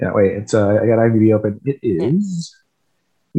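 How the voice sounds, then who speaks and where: A man with a Canadian accent has a dark, mellow tone at a medium pitch. His pitch swings very widely. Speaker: podcast guest. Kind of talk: casual chat.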